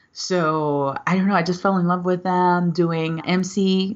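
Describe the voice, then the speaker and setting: Speaking with a Spanish accent, a woman uses a fairly low pitch. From Venezuela. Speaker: motivational speaker. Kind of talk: podcast interview. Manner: animated.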